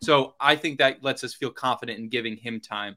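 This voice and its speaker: A man talks at a fairly quick pace in a bright, sharp tone. The recording is very clean, the background silent. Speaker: podcast co-host. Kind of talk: casual sports talk podcast.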